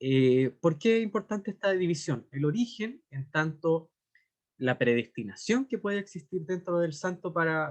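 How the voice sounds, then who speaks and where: At a fairly slow pace, a man talks in a high voice with lively intonation. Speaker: literature scholar, lecturer. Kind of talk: lecture. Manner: hesitant with fillers.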